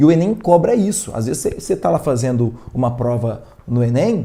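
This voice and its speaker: A man talks in a somewhat breathy voice. His pitch is medium and his tone dark and mellow. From rural Minas Gerais, Brazil (near Bom Despacho). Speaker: physics teacher. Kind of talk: online live lesson. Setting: livestream. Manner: casual, conversational.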